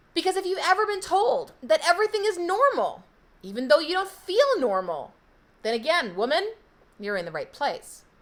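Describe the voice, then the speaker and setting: Loud and extremely high-pitched, a woman speaks at a moderate pace with very wide pitch swings. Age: 40s. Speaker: health coach. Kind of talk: live stream sales pitch.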